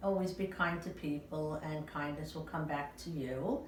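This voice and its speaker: A woman's very deep, low voice carries fairly even intonation amid noticeable background noise and audible room echo. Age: 70s. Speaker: retiree being interviewed. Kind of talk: personal interview. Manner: hesitant, many filler sounds.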